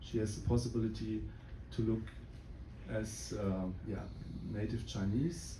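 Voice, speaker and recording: In an audible room echo, a man speaks with a German accent. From Germany. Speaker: film producer. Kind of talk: Q&A after screening. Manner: halting, many fillers.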